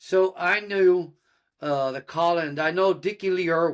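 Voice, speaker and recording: Pitch rises and falls in an ordinary way. The accent is American. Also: man. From Austin, Texas. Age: 60s. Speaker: horse trainer and musician. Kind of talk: interview. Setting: studio.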